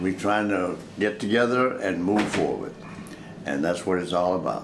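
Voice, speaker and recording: The speaker has a Mississippi accent, a moderate pace, and ordinary pitch variation, with noticeable background noise and audible room echo. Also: man, very deep, low pitch for a man. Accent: Mississippi Southern US. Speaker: family elder. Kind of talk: reminiscing interview.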